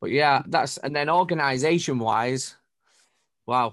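Here a man speaks with a Mancunian accent. He keeps a moderate pace and fairly even intonation. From northern England, Manchester. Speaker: DJ and music producer. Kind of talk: casual chat. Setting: video call from home studio.

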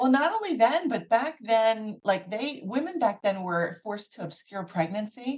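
A woman with an American accent speaks with lively intonation and a fairly high pitch. Her voice is somewhat breathy, with hardly any pauses. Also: moderate pace. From US Northeast, Philadelphia area. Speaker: physician (OB/GYN). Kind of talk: interview.

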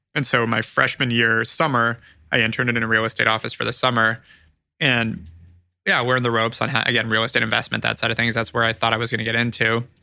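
A man with a Californian accent, medium-pitched, bright and sharp in tone, flat and monotone, very even in loudness and very fast, on a very clean recording with a silent background. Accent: Californian American. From California (Ojai). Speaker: marketing agency founder and CEO. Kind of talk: interview, casual business chat.

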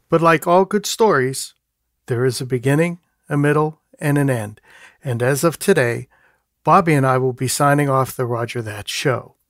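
A man with a plain, everyday voice speaks at a fairly high pitch and moderate pace with ordinary pitch variation, in a very clean recording with a silent background and a dry, close sound with no echo. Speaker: podcast co-host, music therapist. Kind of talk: podcast interview.

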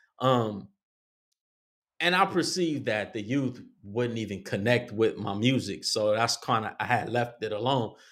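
Speaking at a fairly slow pace in a normal speaking voice, a man with an American accent keeps a medium pitch and ordinary pitch variation on a very clean recording with a silent background. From Compton, California. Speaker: artist and social worker. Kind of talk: casual chat.

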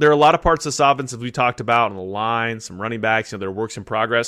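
Bright and sharp in tone, a man with an American accent speaks with ordinary pitch variation. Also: very clean recording, silent background. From California. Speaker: sports podcast co-host. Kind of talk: casual chat.

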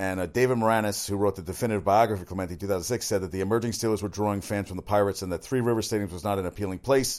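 A man speaks at a very fast pace with hardly any pauses, using a fairly low pitch and fairly even intonation. The recording is very clean with a silent background. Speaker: sports talk radio host. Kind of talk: solo sports talk show monologue. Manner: fast talker; casual, opinionated.

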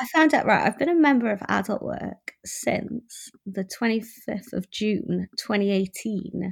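Lively intonation, vocal fry and a fairly slow pace in a Welsh accent, over a very clean recording with a silent background. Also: woman, fairly high pitch for a woman. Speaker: sex worker. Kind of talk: casual chat.

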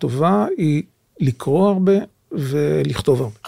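Recorded dry and close with no echo, a man speaks fairly slowly in a fairly high pitch, his tone dark and mellow, somewhat breathy, with lively intonation. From Israel, Jerusalem. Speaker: author and translator, former intelligence service. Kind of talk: interview. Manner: halting.

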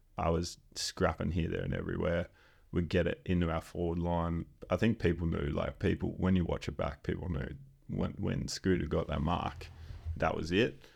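A man with an Australian accent and a very deep, low pitch, at a moderate pace with fairly even intonation against a quiet background. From Western Australia, Exmouth. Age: 20s. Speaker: footballer and chiropractor. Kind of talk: casual chat.

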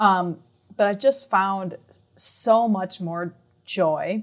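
A woman with a Minnesota accent, medium pitch and ordinary pitch variation. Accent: northern US (Minnesota), getting thicker. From Minnesota (small town, south central). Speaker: music professor and band conductor. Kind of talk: interview conversation.

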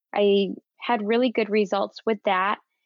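In a normal speaking voice, a woman talks at a moderate pace with a fairly high pitch and fairly even intonation. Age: 30s. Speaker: guest with type one diabetes. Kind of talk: casual interview.

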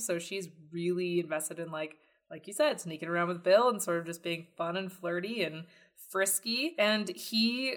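In an American accent, a woman with an ordinary speaking voice talks at a moderate pace with lively intonation. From Texas. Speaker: podcast host. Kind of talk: casual chat.

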